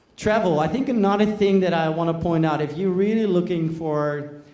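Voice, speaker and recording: Audible room echo surrounds a man's voice, and noticeable background noise is present too. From Netherlands. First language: Dutch. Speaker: business executive, presenter. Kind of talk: conference talk. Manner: hesitant, many fillers.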